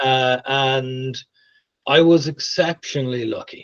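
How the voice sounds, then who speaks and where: A man speaks with an Irish accent. His pitch is medium. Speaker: tech leader. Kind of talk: interview. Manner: careful, planned speech.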